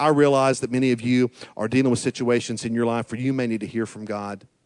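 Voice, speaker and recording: A man's medium-pitched voice with an American accent against a quiet background. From eastern Oklahoma (small town near Fort Smith). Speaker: pastor. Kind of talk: sermon.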